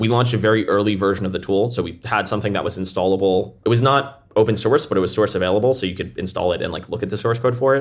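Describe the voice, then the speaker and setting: A man with a fairly low pitch and ordinary pitch variation, at a very fast pace with hardly any pauses, on a very clean recording with a silent background. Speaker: startup founder. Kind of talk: casual interview.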